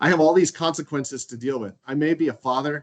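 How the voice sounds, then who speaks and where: A man with a plain, everyday voice at a moderate pace against a quiet background. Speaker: men's group leader sharing his story. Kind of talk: testimony.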